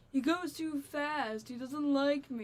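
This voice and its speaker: A woman puts on a whiny, high-pitched character voice and speaks at a fairly slow pace. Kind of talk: complaining, petulant.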